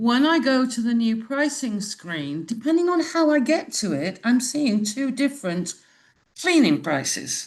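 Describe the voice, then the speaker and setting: Against a quiet background, a woman with a British accent speaks at a fairly slow pace in a high pitch, with very wide pitch swings. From UK. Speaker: Airbnb host asking a question. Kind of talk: live Q&A question.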